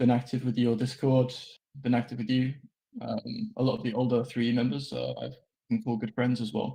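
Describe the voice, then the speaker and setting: In a British accent, a man speaks with a dark, mellow tone, vocal fry and monotone, flat intonation. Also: medium pitch for a man, fairly quick pace. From Britain. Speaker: game server admin. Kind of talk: anniversary speech. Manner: hesitant, many fillers.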